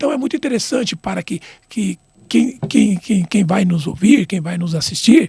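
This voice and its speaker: A man talks at a moderate pace with a high pitch. His voice makes very wide pitch swings. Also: dry, close sound with no echo. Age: 60s. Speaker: retired football referee. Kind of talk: interview. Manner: halting, many repetitions.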